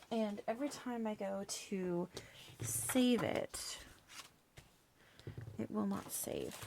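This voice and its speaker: Mumbling in a calm tone, a woman speaks over noticeable background noise. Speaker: crafting vlogger. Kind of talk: casual crafting chat. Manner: calm, unhurried.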